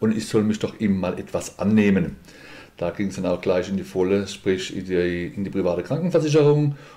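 A man with a dark, mellow tone and fairly low pitch speaks at a moderate pace with lively intonation. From Mannheim, Germany. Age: 50s. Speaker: boxing school owner and insurance broker. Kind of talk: podcast interview.

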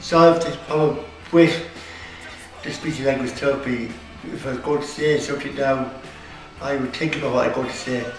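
Over clear music in the background, a man with an Irish accent and fairly high pitch talks at a fairly quick pace in a monotone, flat intonation, with long, frequent pauses and audible room echo. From Ireland. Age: 20s. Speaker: student. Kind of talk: interview answer. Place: classroom. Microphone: camera far.

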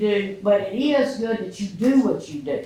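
A Mississippi accent amid noticeable background noise. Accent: Mississippi Southern. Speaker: resident speaking at public meeting. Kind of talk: public comment speech. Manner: loud.

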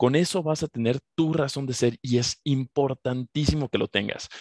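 Against a quiet background, a man talks fairly slowly with ordinary pitch variation, the sound dry and close with no echo. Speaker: radio and TV host, motivational speaker. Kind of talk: motivational talk. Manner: animated.

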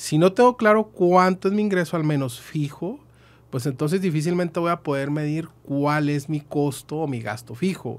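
A man's fairly high-pitched voice at a moderate pace, with ordinary pitch variation. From northern Mexico, Chihuahua. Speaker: accountant and business consultant; guest. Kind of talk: podcast interview; interview answer. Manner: hesitant, many fillers. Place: studio. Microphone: studio mic.

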